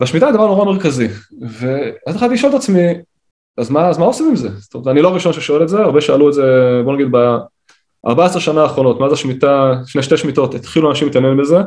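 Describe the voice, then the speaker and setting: The intonation is lively and the talking goes very fast. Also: man, fairly high pitch for a man. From Israel, Kiryat Tivon. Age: 30s. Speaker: rabbi and author. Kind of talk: interview.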